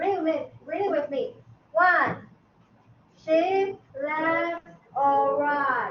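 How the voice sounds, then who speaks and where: Room echo is audible as a woman speaks at an extremely high pitch with lively intonation. Her speech has long, frequent pauses. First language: not English. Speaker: math teacher. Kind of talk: classroom lecture.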